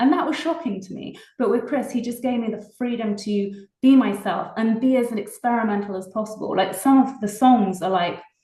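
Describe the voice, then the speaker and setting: A woman talks with a strong British accent and hardly any pauses. Audible room echo surrounds her voice. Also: fairly high pitch for a woman, ordinary pitch variation, moderate pace. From England, Oxfordshire. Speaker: singer-songwriter. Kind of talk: interview.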